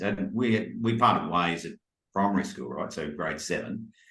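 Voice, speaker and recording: The voice carries a strong Australian accent at a moderate pace. There is audible echo from the room. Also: man. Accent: broad Australian. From Australia, Brisbane. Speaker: life coach. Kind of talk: casual chat.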